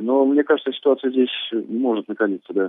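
A man with an ordinary speaking voice, medium in pitch, at a moderate pace. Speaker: war journalist. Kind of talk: live report. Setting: phone call.

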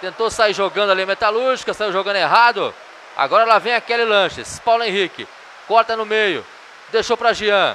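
Amid light background noise, a man with a high pitch and a bright, sharp tone speaks in a raised, projected voice at a fairly quick pace with fairly even intonation. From Brazil. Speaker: futsal play-by-play announcer. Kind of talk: live sports commentary. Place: hall.

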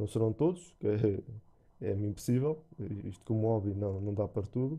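A man speaks at a moderate pace with a fairly low pitch and a dark, mellow tone, in a European Portuguese accent. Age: 30s. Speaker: gaming YouTuber. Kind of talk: channel introduction monologue. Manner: halting, many fillers and repetitions.

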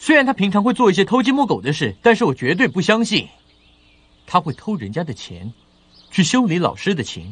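Putting on a character voice, a man talks at a fairly quick pace in a high pitch, his fairly bright tone carrying a slightly husky edge and big pitch swings.

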